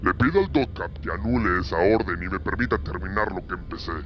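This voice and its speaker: A man puts on a character voice with a very deep, low pitch. He talks at a fairly quick pace over clear background noise. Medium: read story. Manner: formal yet defiant.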